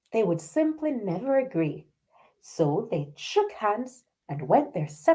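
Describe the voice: A quiet background behind plain reading aloud.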